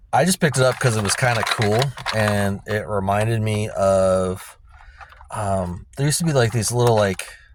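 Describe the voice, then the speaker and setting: A man's fairly low voice with ordinary pitch variation, at a moderate pace, amid noticeable background noise. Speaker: toy reseller vlogger. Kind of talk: casual vlog talk. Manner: hesitant, many fillers.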